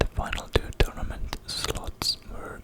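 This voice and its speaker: Noticeable background noise fills the clip. A whisper unfolds at a very slow pace. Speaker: ASMR creator. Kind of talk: whispered ASMR facts reading. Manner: whispered; close-up whisper.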